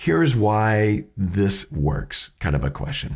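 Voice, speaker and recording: On a very clean recording over a silent background, a somewhat breathy voice makes very wide pitch swings. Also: man. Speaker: educator on questioning skills. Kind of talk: tutorial.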